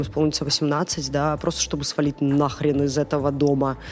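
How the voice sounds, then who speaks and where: This woman's voice sits at a very deep, low pitch. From Belarus, Gomel. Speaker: feminist civic activist and social entrepreneur. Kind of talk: casual interview chat. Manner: animated.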